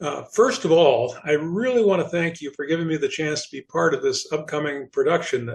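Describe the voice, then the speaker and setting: With an American accent, a somewhat breathy man speaks at a fairly high pitch and a moderate pace, with ordinary pitch variation. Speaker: podcast host, theater member. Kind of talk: scripted intro then casual interview.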